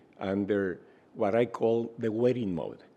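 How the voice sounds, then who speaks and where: Speaking with a Spanish accent, a man goes at a very slow pace. His tone is dark and mellow. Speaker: health researcher and center director. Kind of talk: interview. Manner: hesitant, many fillers.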